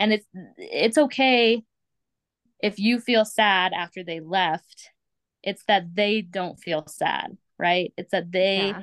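Heard as a dry, close sound with no echo, a woman speaks at a very slow pace with long, frequent pauses and ordinary pitch variation. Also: medium pitch for a woman. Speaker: foster parent. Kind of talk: casual chat.

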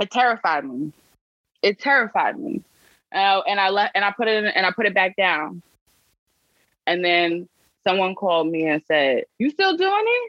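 A woman with a New York accent, lively intonation, a moderate pace and long, frequent pauses. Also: medium pitch for a woman. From New York City, South Bronx. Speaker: civic advocacy organization director. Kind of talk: interview.

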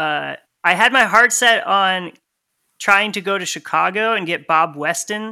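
A man with an American accent uses a raised, projected voice with a bright, sharp tone, speaking at a high pitch and fairly slow pace with ordinary pitch variation in a very clean recording over a silent background. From Connecticut. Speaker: lathe cutting engineer and musician. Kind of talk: casual interview.

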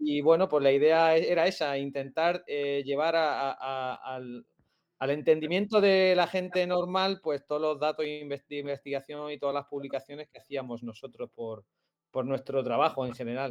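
A man with a fairly high pitch, an unremarkable speaking voice, a moderate pace, ordinary pitch variation and big swings in loudness. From Murcia, Spain (Lorca). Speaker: sports science researcher. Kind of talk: live-streamed interview.

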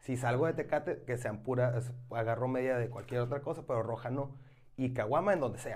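Somewhat breathy, the voice keeps a moderate pace. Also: man. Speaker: beer podcast host. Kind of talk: casual chat.

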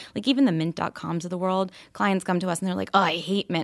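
A woman with an American accent and a medium pitch speaks with fairly even intonation in a plain, everyday voice, in a very clean recording with a silent background and a dry, close sound with no echo. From New York, with teen years in Kentucky. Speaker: financial planning entrepreneur. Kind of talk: interview.

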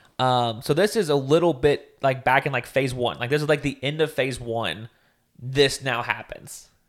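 The speaker uses a normal speaking voice at a moderate pace, captured on a very clean recording with a silent background. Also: man, medium pitch for a man, ordinary pitch variation. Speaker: podcast co-host.

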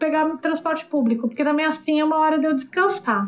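Music can be heard in the background. Over it, a woman talks with ordinary pitch variation. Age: 50s. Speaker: travel blogger and travel agent. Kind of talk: interview, casual chat.

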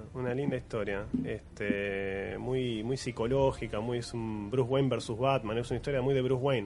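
In an ordinary speaking voice, a man talks at a moderate pace and medium pitch with fairly even intonation and hardly any pauses. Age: 30s. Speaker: podcast host. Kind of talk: casual chat.

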